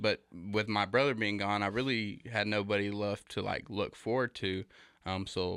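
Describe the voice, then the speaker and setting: In a very clean recording with a silent background, a man with an American accent speaks at a moderate pace in a fairly low pitch. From Texas. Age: 20s. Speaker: roofing sales representative. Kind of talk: interview.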